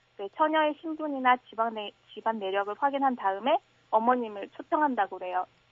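A woman talks at a moderate pace in an ordinary speaking voice, her fairly high pitch showing ordinary pitch variation. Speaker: university student. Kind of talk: radio phone interview. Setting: phone call.

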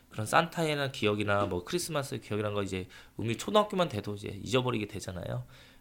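A man at medium pitch, talking at a very fast pace. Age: 30s. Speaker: preschool sports teacher. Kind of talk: testimony; interview.

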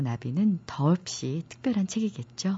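Her delivery is somewhat breathy and moves at a moderate pace. The woman's intonation is lively. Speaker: radio book show host, announcer. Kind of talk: radio book program hosting and interview. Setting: radio studio.

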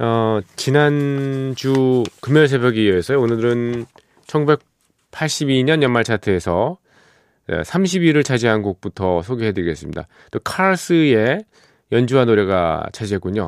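The speech is very slow, with lively intonation. The recording is very clean and silent behind the voice, with a dry, close sound and no echo. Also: man, medium pitch for a man. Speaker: radio DJ and producer. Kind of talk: late-night radio music show. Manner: relaxed, conversational with many fillers.

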